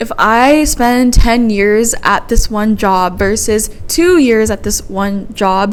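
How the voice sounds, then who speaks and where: A woman talks very slowly with hardly any pauses, in a fairly high pitch with ordinary variation. Audible room echo surrounds her voice. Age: 20s. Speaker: podcast host. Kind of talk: casual solo podcast monologue. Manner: rambling, thoughts spilling out.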